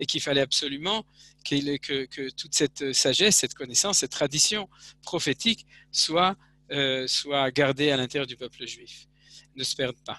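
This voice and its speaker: A man speaks at a moderate pace in a bright, sharp tone with ordinary pitch variation. The sound is dry with no echo over a quiet background. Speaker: religious teacher. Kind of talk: lecture. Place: home room. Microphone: headset.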